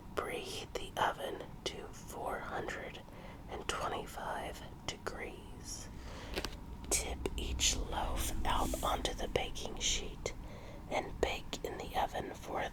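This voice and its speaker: A whisper at a very slow pace is heard against noticeable background noise. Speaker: ASMR performer. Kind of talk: ASMR recipe reading. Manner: whispered; slow, soft-spoken.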